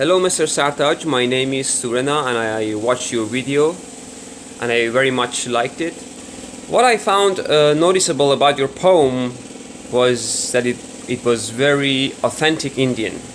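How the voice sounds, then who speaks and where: Speaking at a moderate pace with a Persian accent, a man with a medium-pitched voice uses ordinary pitch variation over noticeable background noise. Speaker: viewer giving feedback. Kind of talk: recorded voice message.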